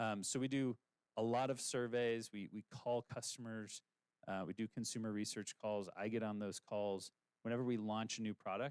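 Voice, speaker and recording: With a dry, close sound and no echo, a man speaks at a medium pitch with fairly even intonation. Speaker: startup founder pitching. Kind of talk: business pitch presentation. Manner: fast; many filler words.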